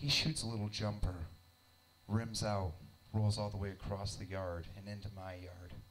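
A man with a fairly low pitch speaks at a moderate pace in a somewhat breathy voice, with light background noise. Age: 30s. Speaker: stand-up comedian. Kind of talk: stand-up comedy. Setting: stage with audience in a basement club. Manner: animated, irreverent. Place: stage. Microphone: handheld.

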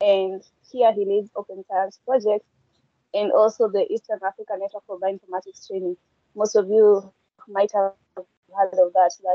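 A woman's monotone, flat delivery at a moderate pace, dry with no echo, over a quiet background. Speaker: session moderator. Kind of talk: online session moderation. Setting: video call. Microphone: video call.

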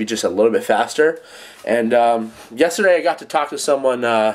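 A man speaks at a fairly quick pace. His pitch varies in an ordinary way. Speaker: fitness vlogger. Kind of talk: casual vlog chat. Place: home room. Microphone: phone near.

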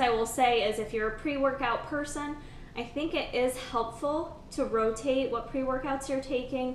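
A woman talks at a moderate pace in a high voice with fairly even intonation. Light background noise and an audible room echo are present. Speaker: fitness vlogger. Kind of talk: casual vlog chat. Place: home room. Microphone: camera far.

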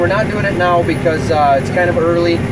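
A man at a moderate pace with ordinary pitch variation, loud background noise and a dry sound with no echo. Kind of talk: casual vlog explanation. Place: farm machine. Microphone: phone near.

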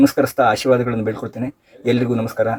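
His tone is dark and mellow. The man's pitch sits in the medium range. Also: dry, close sound with no echo. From Sringeri, Karnataka. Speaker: businessman, former student. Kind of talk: recorded tribute message. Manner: formal.

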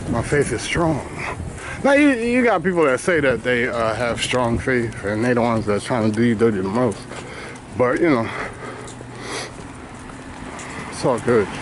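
A man speaks at a moderate pace with ordinary pitch variation and long, frequent pauses, in a dry sound with no echo and noticeable background noise. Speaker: podcaster giving walking tour. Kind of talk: casual vlog chat. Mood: reflective, faith-focused. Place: street. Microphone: phone near.

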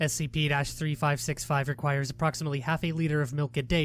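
Music plays in the background as a man talks very fast at a fairly high pitch. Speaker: SCP narrator. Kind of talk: SCP article reading.

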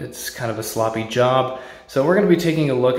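A man speaks at a moderate pace with ordinary pitch variation, and the room echo is audible. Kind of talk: casual tutorial narration. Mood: mildly concerned. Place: empty room. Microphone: phone near.

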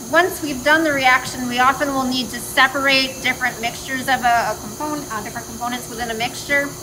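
Over noticeable background noise, a woman with a raised, projected voice speaks at a very fast pace with fairly even intonation and hardly any pauses. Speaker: engineering lecturer. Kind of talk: lecture. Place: factory. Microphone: phone near.

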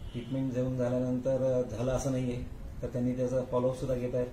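A man speaks with monotone, flat intonation amid audible room echo and light background noise. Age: 60s. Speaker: patient. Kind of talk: testimony. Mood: calm, grateful. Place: office. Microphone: phone near.

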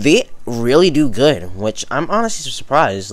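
Talking with ordinary variation in pitch, a man keeps to a moderate pace. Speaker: reaction video creator. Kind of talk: casual vlog chat. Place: home room. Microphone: studio mic.

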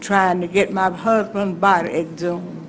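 Speaking very slowly in a flat monotone, a woman with an Alabama accent has a fairly low pitch, with noticeable background noise and audible room echo around her. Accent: Alabama Southern US. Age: 80s+. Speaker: resident addressing city council. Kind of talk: public comment at council meeting. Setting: city council chamber.

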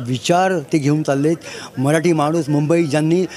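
A man's fairly high-pitched voice with fairly even intonation over light background noise. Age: 50s. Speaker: party supporter at a rally. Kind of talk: street interview. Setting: outdoors at a rally ground. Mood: proud, admiring. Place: open country.

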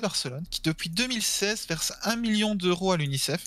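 A man talks with lively intonation. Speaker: gaming stream co-host, quiz presenter. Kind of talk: casual chat.

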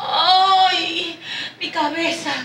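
Putting on a character voice, a woman talks very slowly at an extremely high pitch with a bright, sharp tone and fairly even intonation, in audible room echo.

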